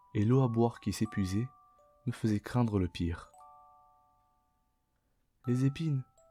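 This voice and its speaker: Music plays in the background as the speaker goes at a fairly slow pace with long, frequent pauses. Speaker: Vtuber language teacher reading aloud. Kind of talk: audiobook-style reading for sleep.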